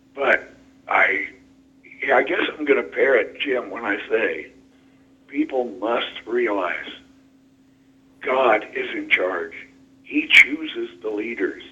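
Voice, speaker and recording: A man speaks at a very slow pace with long, frequent pauses. Noticeable background noise sits behind him. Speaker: caller. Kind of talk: call-in talk show comment.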